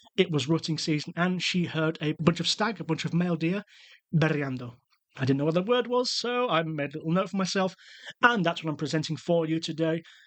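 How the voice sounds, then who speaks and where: A man with a British accent, high in pitch, fairly quick in pace, with ordinary pitch variation. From UK. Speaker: travel podcast host. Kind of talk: podcast monologue.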